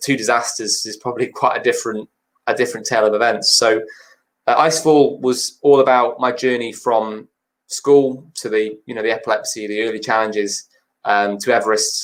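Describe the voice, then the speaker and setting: Speaking with a northern English accent, a man keeps his intonation fairly even while his loudness swings widely. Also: medium pitch for a man, fairly quick pace. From Cheshire, England. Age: 20s. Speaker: mountaineer and motivational speaker. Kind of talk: interview answer.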